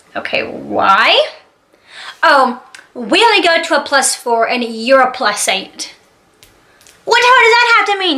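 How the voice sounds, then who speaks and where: The voice is raised and projected, with an animated tone. Its pitch swings very widely. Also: woman. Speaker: YouTuber. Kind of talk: storytime vlog. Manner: loud, yelling.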